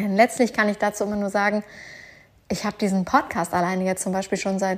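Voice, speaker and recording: A woman of medium pitch is heard on a very clean recording with a silent background. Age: 30s. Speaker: podcast host, online business coach. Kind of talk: casual personal monologue. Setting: at home on the couch.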